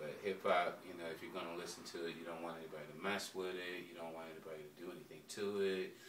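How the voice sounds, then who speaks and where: A man with a very deep, low pitch talks at a very fast pace in a monotone, flat way, with audible room echo around him. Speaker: rapper. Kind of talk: interview.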